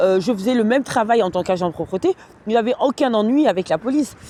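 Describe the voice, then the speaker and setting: The speech moves at a fairly quick pace with lively intonation. The sound is dry and close, without echo. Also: woman. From France. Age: 30s. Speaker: vlogger, cleaning worker. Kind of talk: casual livestream monologue. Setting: at home. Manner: hesitant, many fillers.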